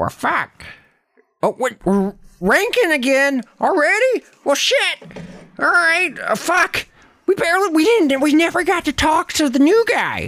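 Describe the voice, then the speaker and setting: A put-on character voice at an extremely high pitch, fairly slow in pace, with long, frequent pauses. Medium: comedy sketch. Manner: crude, cursing.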